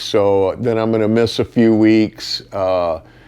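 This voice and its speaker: The speaker has a plain, everyday voice. The intonation is fairly even. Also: man. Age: 50s. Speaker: vlogger and mechanic. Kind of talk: casual vlog talk to camera. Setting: at home in front of fireplace. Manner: casual with many fillers.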